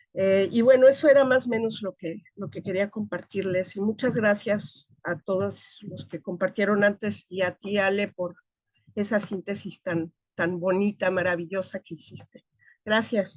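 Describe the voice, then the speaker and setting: An unremarkable speaking voice with ordinary pitch variation shows big swings in loudness, recorded with a dry, close sound and no echo. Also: woman, medium pitch for a woman, fairly slow pace. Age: 60s. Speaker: academic. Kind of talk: seminar discussion.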